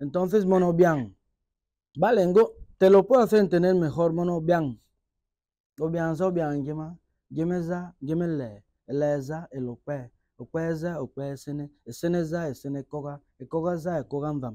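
Dark, mellow tone at a fairly slow pace, with ordinary pitch variation, dry sound with no echo, and a quiet background. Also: man, fairly high pitch for a man. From Equatorial Guinea. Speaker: rapper; interviewee. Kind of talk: interview.

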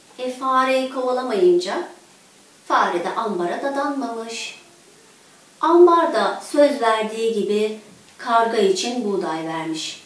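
Strong room echo surrounds a woman speaking at a fairly slow pace. Her pitch is fairly high, with ordinary variation.

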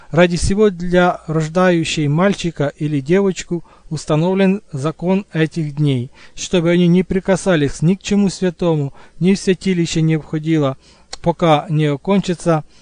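In a dry, close recording with no echo, a man speaks with a normal speaking voice, fairly high in pitch, at a fairly slow pace and with fairly even intonation. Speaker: audiobook narrator. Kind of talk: reading aloud.

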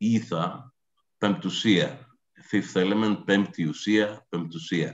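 A man's fairly low, fairly slow voice with a Greek accent, ordinary pitch variation and a quiet background. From Greece. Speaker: professor. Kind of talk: lecture. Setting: video call. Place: home room. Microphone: video call.

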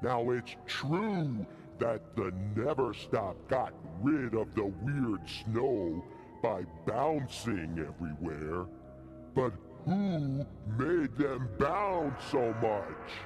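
Over clear background music, a man at medium pitch talks at a very slow pace with long, frequent pauses. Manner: complaining, accusing, cranky.

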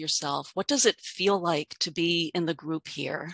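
A woman talks at a fairly slow pace in a bright, sharp tone with ordinary pitch variation. The sound is dry with no echo, and the background is quiet. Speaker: practitioner and facilitator. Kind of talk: webinar hosting, spiritual talk. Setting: video call with online audience. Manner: warm, measured, gentle. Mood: calm, warm, gentle. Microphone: headset.

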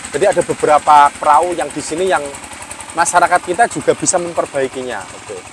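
Against noticeable background noise, a high-pitched man speaks at a very fast pace. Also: ordinary pitch variation. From Dasun village, Lasem, Rembang, Central Java, Indonesia. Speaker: young historian and village official. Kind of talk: casual interview. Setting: outdoors on a boat on a river.

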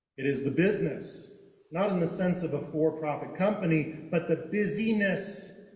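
A man's fairly slow speech with ordinary pitch variation and audible room echo. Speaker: preacher. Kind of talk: sermon. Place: church. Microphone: podium.

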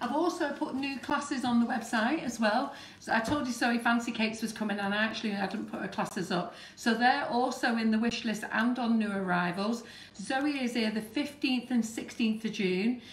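Fairly high female voice at a moderate pace, ordinary pitch variation, audible room echo. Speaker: cake decorating channel host. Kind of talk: live baking demonstration. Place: kitchen. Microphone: phone near.

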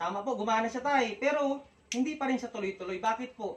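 A woman speaks at a fairly quick pace with a high pitch. Her intonation is lively. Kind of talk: street sales pitch. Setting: live product demonstration in person. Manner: animated, fast, persuasive demonstrating talk; politely repetitive, addressing customers as tay, nay, ma'am.

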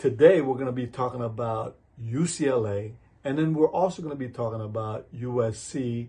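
Somewhat breathy, a man speaks at a fairly slow pace with ordinary pitch variation. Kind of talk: advice vlog talk. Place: office. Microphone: phone near.

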